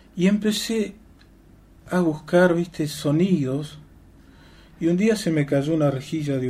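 A man's voice sits fairly high, with ordinary pitch variation. He speaks at a fairly slow pace in a dark, mellow tone. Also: long, frequent pauses. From Argentina, Chubut (Patagonia). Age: 50s. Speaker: musician. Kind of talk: radio interview. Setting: radio studio.

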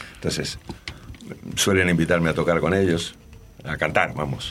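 A man's very deep, low voice against noticeable background noise. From Argentina. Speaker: rock and blues singer and bassist. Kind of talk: interview. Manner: halting.

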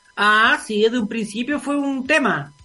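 A man with a Chilean accent speaks in a raised, projected, extremely high voice with ordinary pitch variation. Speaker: radio host. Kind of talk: casual chat.

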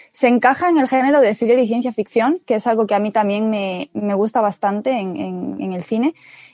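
A woman with a fairly high pitch and a dark, mellow tone speaks at a very fast pace with ordinary pitch variation, the sound dry and close with no echo. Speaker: podcast co-host. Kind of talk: casual chat.

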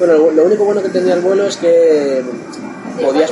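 Speaking at a fairly quick pace with a high pitch and ordinary pitch variation, a man is heard with audible room echo and noticeable background noise. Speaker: retro video game website contributor. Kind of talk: casual interview chat. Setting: at a convenience store in Japan over beer. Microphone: recorded much quieter than the host.

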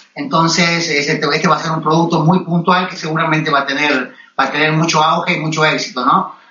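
A man talks at a fairly quick pace with fairly even intonation and hardly any pauses, over noticeable background noise. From Argentina. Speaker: golf magazine editor. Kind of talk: interview. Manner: halting, many fillers and repetitions.

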